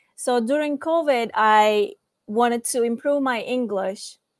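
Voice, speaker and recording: Here a woman with a Turkish accent speaks. Her voice is high-pitched and her pace fairly slow. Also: very clean recording, silent background. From Turkey. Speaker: student panelist. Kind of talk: panel discussion. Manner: halting.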